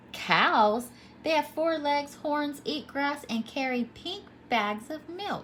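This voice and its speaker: Putting on a character voice, a woman speaks at a high pitch and a very slow pace over clear background noise. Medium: read story. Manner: confident, storytelling.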